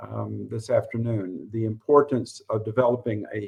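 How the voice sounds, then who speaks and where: With a Southern US accent, this man's words come through. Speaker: college professor and former administrator. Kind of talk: interview. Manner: halting.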